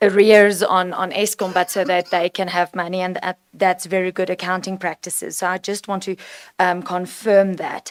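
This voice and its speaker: In a South African accent, a woman speaks at a medium pitch and moderate pace with monotone, flat intonation and a dry, close sound with no echo. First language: Afrikaans. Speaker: provincial legislator. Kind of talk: committee meeting question.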